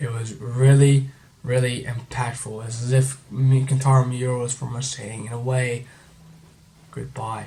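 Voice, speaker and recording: Quiet and somewhat breathy, a man with a medium pitch and a dark, mellow tone talks at a moderate pace in monotone, flat intonation, his loudness swinging widely amid audible room echo. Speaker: manga reviewer. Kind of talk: video review commentary. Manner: subdued, halting.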